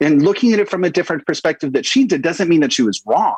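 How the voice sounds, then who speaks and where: With a Spanish accent and lively intonation, a man speaks in a dry, close sound with no echo. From Southern California, Los Angeles suburbs. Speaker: children's book author and activist. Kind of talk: interview. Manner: halting, many false starts.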